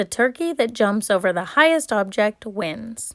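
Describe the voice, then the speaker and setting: Someone puts on a character voice with a raspy edge, keeping a moderate pace. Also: woman, fairly high pitch for a woman. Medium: read story. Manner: loud, announcer-like.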